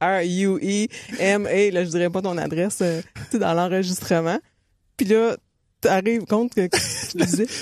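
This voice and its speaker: A woman with a Quebec accent, medium in pitch with ordinary pitch variation, at a fairly slow pace with long, frequent pauses. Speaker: running coach and podcast co-host. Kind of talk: casual chat.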